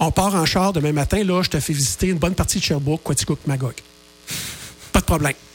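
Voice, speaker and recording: A man at a fairly high pitch and very fast pace, with long, frequent pauses, very even loudness, ordinary pitch variation and music in the background. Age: 50s. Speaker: author and radio contributor. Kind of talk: radio interview.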